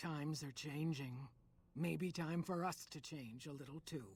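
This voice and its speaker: A woman's put-on character voice, raspy and very deep, with ordinary pitch variation at a moderate pace. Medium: video game. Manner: wry, folksy, unhurried.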